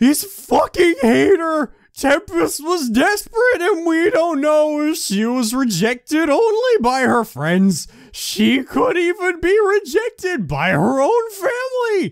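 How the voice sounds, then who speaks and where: A man uses a put-on character voice at an extremely high, shrill pitch, his pitch swinging very widely at a fairly slow pace. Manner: dramatic, exaggerated.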